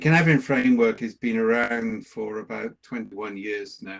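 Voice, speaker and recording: This voice carries a Welsh accent. Its pitch variation is ordinary. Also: man. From Wales. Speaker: management consultant and researcher. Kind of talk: lecture.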